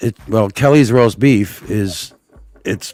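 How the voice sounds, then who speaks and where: A man with a Boston accent speaks with ordinary pitch variation. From Boston area, Massachusetts (Malden). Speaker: live stream viewer joining chat. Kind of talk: casual chat.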